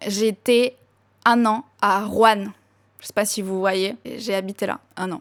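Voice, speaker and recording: A woman with a Spanish accent talks at a medium pitch and a fairly slow pace in a flat monotone. The very clean recording has a silent background and a dry, close sound with no echo. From Argentina, La Pampa province. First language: Spanish (speaking French). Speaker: YouTuber. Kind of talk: casual Q&A storytelling. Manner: casual, filler-heavy.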